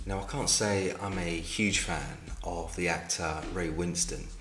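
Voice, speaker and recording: In a London accent, a man with a very deep, low pitch speaks at a fairly slow pace with very wide pitch swings, amid audible room echo and noticeable background noise. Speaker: film reviewer. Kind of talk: casual video review.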